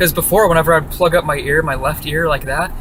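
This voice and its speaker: Through noticeable background noise, a man with a fairly high pitch talks at a fairly quick pace with fairly even intonation. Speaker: vlogger. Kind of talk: casual vlog monologue. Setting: in a car.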